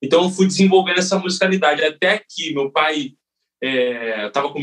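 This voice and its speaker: A man with an ordinary speaking voice moves at a fairly quick pace, his pitch varying in an ordinary way. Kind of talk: interview.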